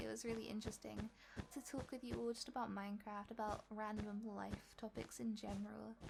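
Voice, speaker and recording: Noticeable background noise runs under a woman's voice. She speaks at a moderate pace with a fairly high pitch. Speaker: gaming youtuber. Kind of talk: voiceover tutorial.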